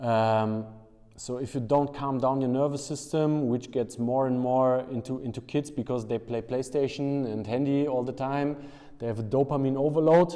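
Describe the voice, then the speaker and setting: With fairly even intonation and a dark, mellow tone, a man talks at a moderate pace. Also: medium pitch for a man, quiet background. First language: German. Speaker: strength and conditioning coach. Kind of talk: interview. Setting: basement weightlifting room. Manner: halting.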